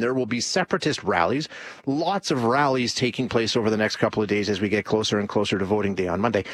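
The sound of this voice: A man's fast-paced voice with a fairly bright tone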